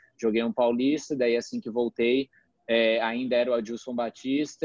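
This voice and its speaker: A man talks at a moderate pace against a quiet background, the sound dry with no echo. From Brazil, Florianópolis; Brazil. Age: 20s. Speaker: professional footballer; interviewee. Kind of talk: casual interview. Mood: relaxed, calm. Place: home room. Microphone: video call.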